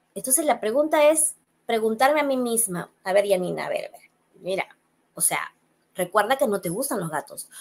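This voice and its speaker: A woman speaks at a moderate pace and a fairly high pitch, with very wide pitch swings and big swings in loudness. Her speech has long, frequent pauses. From Peru. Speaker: psychologist; guest. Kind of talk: interview. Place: home room. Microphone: webcam.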